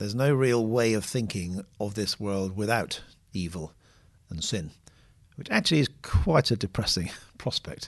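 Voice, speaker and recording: Using lively intonation, a man with a fairly low pitch talks at a moderate pace with long, frequent pauses. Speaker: podcast host, theologian. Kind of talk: casual discussion. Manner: soft-spoken, trying to speak up.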